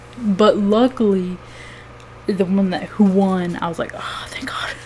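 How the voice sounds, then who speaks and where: Over noticeable background noise, a soft-spoken woman talks fairly slowly at medium pitch with fairly even intonation. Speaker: cosplayer and fursuit maker. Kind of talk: casual vlog chat. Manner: quiet, soft-spoken; hesitant, many fillers.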